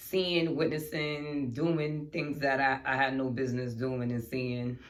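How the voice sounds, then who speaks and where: In a room with audible echo, a woman with a very deep, low pitch speaks at a fairly slow pace and with fairly even intonation. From New York City (Bronx/Harlem). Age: 30s. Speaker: podcast host. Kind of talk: casual chat.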